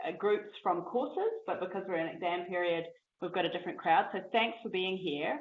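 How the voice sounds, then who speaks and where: With a New Zealand accent and lively intonation, a woman talks over audible room echo. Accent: New Zealand, a little stronger than usual. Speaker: academic seminar host. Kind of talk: seminar introduction. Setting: lecture room with audience. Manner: hesitant with many fillers.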